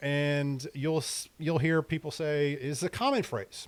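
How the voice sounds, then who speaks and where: Very clean recording of a man, the background silent. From Maryland. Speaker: real estate agent. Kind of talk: tutorial. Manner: casual, conversational.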